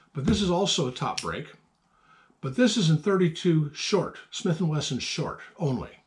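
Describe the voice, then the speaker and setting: Mumbling at a moderate pace, a man speaks with a high pitch. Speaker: antique gun collector. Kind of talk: casual talk to camera. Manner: halting, mumbling.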